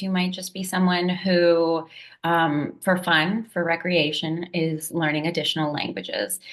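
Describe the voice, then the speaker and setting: Speaking at a fairly slow pace, a woman with a plain, everyday voice keeps a fairly low pitch and fairly even intonation. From Puerto Rican raised in US diaspora. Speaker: language educator. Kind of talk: presentation talk.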